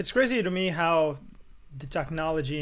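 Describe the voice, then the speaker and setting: With a non-native accent, a man is speaking. His pace is moderate. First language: not English. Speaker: music producer. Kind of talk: casual chat.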